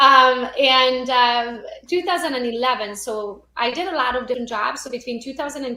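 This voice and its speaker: The speaker talks at a moderate pace in a Romanian accent. Pitch variation is ordinary. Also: woman. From Romania (Transylvania). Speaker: real estate agent and social media trainer. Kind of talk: podcast interview. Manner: animated.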